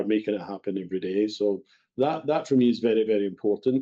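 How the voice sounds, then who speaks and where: With a Scottish accent, a man speaks in a dark, mellow tone. His pitch is medium and varies in an ordinary way. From west of Scotland. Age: 60s. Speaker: bakery company executive. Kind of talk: podcast interview.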